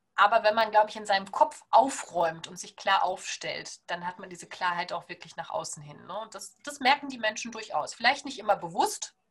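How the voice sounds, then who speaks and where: In an unremarkable speaking voice, a woman with a fairly high pitch talks at a moderate pace with hardly any pauses, her intonation lively and her loudness swinging widely. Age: 30s. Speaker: naturopath. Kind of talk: podcast interview.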